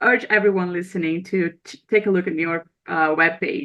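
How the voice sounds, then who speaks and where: This is a woman's voice at medium pitch. She talks at a moderate pace. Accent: Brazilian. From Brazil. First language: Portuguese. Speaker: podcast host. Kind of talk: podcast outro; interview.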